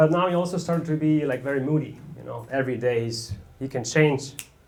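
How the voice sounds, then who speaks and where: Noticeable background noise and audible room echo surround a man speaking at a moderate pace with ordinary pitch variation. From Germany. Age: 30s. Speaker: amateur stand-up comedian. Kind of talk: stand-up. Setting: stage with audience.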